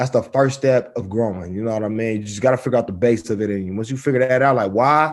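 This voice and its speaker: A man with an American accent talks at a very fast pace, with hardly any pauses. His pitch is medium, with ordinary variation. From South Central Los Angeles. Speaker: rapper. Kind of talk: interview. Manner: casual, halting with fillers.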